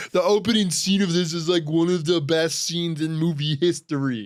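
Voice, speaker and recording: A man speaks at a fairly quick pace in a put-on character voice with a high pitch. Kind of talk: typical YouTuber cadence. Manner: enthusiastic.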